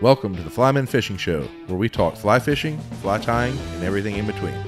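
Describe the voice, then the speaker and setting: Lively intonation and a very fast pace come through over music in the background. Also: man, fairly low pitch for a man. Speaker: podcast host. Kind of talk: podcast interview.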